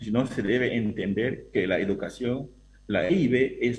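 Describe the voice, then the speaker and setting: At a fairly slow pace, the speaker's voice comes out somewhat breathy. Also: man. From Peruvian Amazon, Awajún people. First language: Awajún (speaking Spanish). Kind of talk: panel discussion. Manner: halting.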